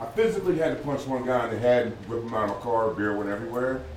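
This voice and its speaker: Noticeable background noise sits behind the voice. A man speaks at a fairly quick pace. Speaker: congregation member. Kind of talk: testimony.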